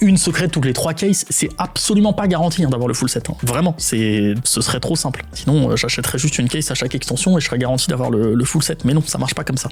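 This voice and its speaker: A man talks very fast. Music can be heard behind him. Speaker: YouTuber opening trading card packs. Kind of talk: casual card-opening commentary. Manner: animated.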